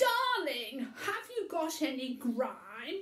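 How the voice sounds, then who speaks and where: A woman in a put-on character voice speaks at a very slow pace with an extremely high pitch and very wide pitch swings. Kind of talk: comic overacting in a children's story reading. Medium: read story. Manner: fussy, impatient.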